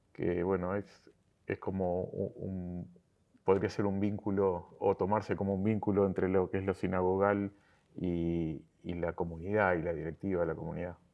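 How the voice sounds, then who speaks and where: A man's very deep, low voice, flat and monotone, at a moderate pace. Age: 60s. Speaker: synagogue lay leader. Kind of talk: interview. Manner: halting, many fillers and repetitions.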